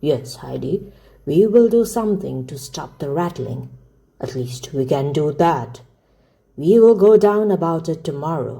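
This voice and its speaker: A put-on character voice at middle pitch, with very wide pitch swings, big swings in loudness and a moderate pace. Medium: read story. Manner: terse, gruff.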